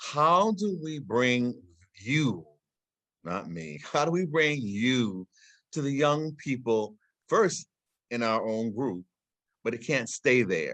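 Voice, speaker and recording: With long, frequent pauses and a very slow pace, a man speaks at a medium pitch that makes very wide swings. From Guyana. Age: 70s. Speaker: panel speaker at an art exhibition talk. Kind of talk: online panel discussion. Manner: halting, with many fillers and repeated words.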